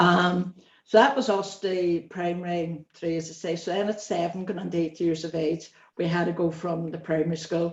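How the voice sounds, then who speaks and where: A woman speaks with a Northern Irish accent at a moderate pace. Her pitch is fairly low and her intonation fairly even. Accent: Derry Northern Irish. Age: 60s. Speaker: interviewee. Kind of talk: interview, personal life story. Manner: conversational, with hesitations.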